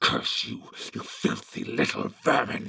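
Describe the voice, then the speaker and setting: A man's put-on character voice, growling and hissing at a fairly slow pace. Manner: hissing, snarling.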